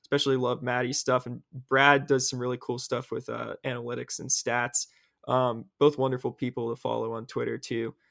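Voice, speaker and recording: Heard in a very clean, dry, close recording with no echo and a silent background, a normal speaking voice goes at a moderate pace with fairly even intonation. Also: man. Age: young. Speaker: hockey podcast host, sports writer. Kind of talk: casual sports chat.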